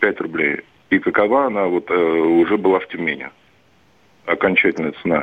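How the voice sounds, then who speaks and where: A man with a very deep, low pitch speaks at a moderate pace with ordinary pitch variation. He leaves long, frequent pauses. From St Petersburg, Russia. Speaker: truck driver. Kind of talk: phone-in call.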